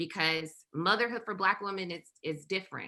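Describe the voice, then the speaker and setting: Her bright, sharp tone carries vocal fry as a woman with a Southern US accent speaks at a moderate pace with ordinary pitch variation. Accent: Southern US (Georgia). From US South, rural south Georgia. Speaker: perinatal mental health trainer. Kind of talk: presentation. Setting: virtual summit.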